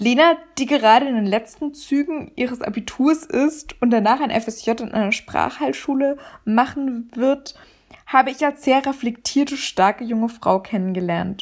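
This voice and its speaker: The woman talks at a fairly slow pace. Her voice is high-pitched, with ordinary pitch variation. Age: young. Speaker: podcast host. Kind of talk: scripted introduction; interview.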